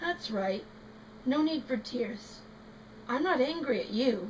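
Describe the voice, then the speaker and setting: A woman uses a put-on character voice pitched high. She speaks at a fairly slow pace over clear background noise. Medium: read story. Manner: intense.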